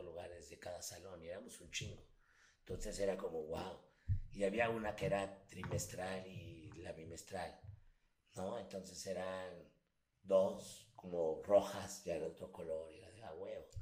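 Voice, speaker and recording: A man at a fairly slow pace, with big swings in loudness and audible room echo. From Mexico City. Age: 40s. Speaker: voice actor. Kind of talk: casual chat.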